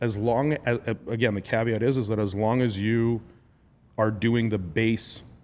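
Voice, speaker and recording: A man with a plain, everyday voice speaks at a moderate pace and medium pitch, with fairly even intonation and very even loudness. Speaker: podcast host. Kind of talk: podcast interview question.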